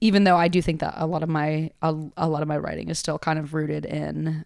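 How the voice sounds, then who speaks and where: At a fairly quick pace, a woman speaks with an American accent. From Connecticut, US. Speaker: rapper and songwriter. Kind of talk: casual interview chat. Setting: studio.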